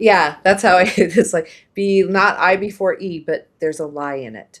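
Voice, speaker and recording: With a Midwestern accent, a woman talks at a moderate pace in a medium pitch, her pitch varying in an ordinary way while her loudness swings widely. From US Midwest. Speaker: podcast host. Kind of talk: casual chat. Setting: live stream.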